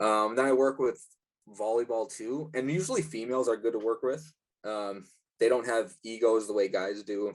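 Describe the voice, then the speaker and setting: A normal speaking voice from a man at medium pitch, moderate pace and ordinary pitch variation. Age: 20s. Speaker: strength and conditioning coach. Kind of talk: interview. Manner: casual, many fillers (um, like).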